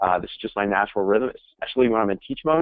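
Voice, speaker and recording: At a very fast pace, a man with an American accent speaks at a medium pitch with lively intonation. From US East Coast. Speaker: sales trainer. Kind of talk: webinar presentation. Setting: webinar. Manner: direct.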